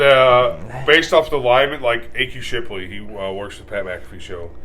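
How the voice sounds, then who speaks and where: A man with a medium pitch speaks at a moderate pace with lively intonation. His loudness swings widely, and audible room echo surrounds him. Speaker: sports podcast co-host. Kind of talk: casual chat.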